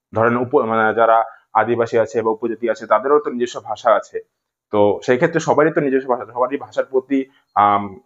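With a mid-range pitch, the man keeps his intonation fairly level. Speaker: tutor for secondary school exam. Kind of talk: lecture. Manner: repetitive, emphatic.

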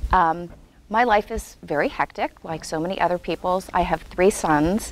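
A woman talks at a moderate pace with ordinary pitch variation. The sound is dry with no echo, and there is light background noise. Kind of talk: interview answer. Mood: warm, calm. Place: hall.

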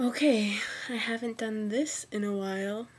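A quiet woman's voice at a fairly slow pace. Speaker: college student. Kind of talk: casual talk to camera. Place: home room. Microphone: webcam.

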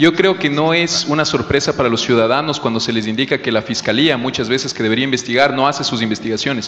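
Speaking at a very fast pace, a man with a fairly high pitch is heard over light background noise. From Ecuador, Amazon region (Pastaza); Ecuador. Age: 30s. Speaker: political candidate, political scientist; candidate. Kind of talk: political debate. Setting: stage in a theatre. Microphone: handheld.

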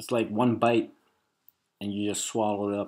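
A man speaks with a slightly mellow tone and a slightly husky edge.

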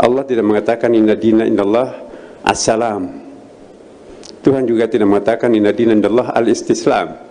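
A man speaks at a very fast pace in a monotone, flat intonation with very even loudness. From Indonesia. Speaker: grand imam. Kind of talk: welcome speech. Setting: mosque seminar with audience. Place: hall. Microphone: handheld.

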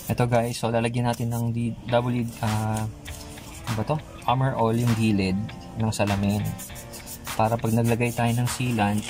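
Clear music plays in the background while a man speaks at a moderate pace in a monotone, flat intonation with long, frequent pauses. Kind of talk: tutorial. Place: street. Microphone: phone near.

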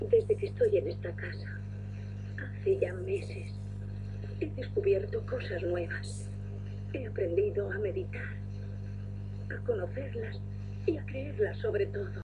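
Over noticeable background noise, a woman talks with long, frequent pauses. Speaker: voice actor. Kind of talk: dubbed character monologue. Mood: calm, reflective. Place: booth.

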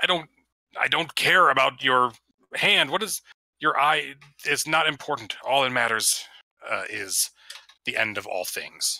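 A man puts on a growling character voice, fairly high in pitch with lively intonation. He goes at a fairly slow pace with long, frequent pauses. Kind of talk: menacing, threatening. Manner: snarling.

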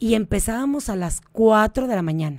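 In a very clean recording with a silent background, a woman speaks at a fairly high pitch in a dark, mellow tone. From Mexico City. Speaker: state tourism official and businesswoman. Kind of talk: radio interview.

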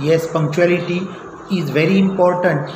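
With noticeable noise in the background, a man talks in a high pitch. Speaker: teacher. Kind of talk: lesson talk, spoken English practice. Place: classroom. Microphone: phone near.

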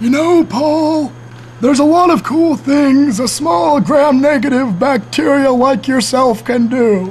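A high-pitched voice at a fairly slow pace, with clear background noise. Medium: comedy sketch. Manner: kindly, lecturing.

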